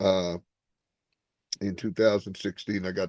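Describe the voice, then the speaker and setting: The sound is dry and close with no echo as a man speaks with a New Jersey accent. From Newark, New Jersey. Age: 60s. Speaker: stand-up comedian. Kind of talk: interview. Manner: halting, many fillers.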